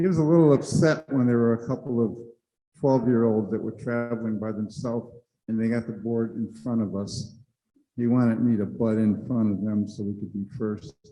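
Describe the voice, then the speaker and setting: This man has a medium pitch and a dark, mellow tone. He talks at a fairly quick pace with ordinary pitch variation. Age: 70s. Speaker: panelist sharing personal story. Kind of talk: personal testimony on a conference panel. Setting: conference room with audience.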